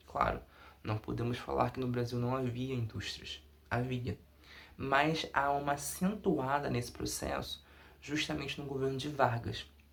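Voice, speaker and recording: A man talks fairly slowly while noticeable background noise sits behind him. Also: medium pitch for a man, ordinary pitch variation. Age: 20s. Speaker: undergraduate researcher. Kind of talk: academic presentation.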